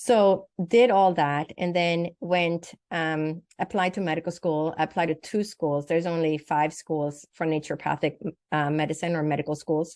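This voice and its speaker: A woman at a moderate pace, with a fairly low pitch and ordinary pitch variation. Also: quiet background. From Sweden. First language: Swedish. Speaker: naturopathic doctor and psychic medium. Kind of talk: interview testimony.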